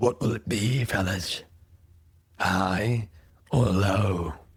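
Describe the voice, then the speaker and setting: Raspy and fairly low, a man puts on a character voice. He talks at a very slow pace with ordinary pitch variation. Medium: actual play. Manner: mocking, goading.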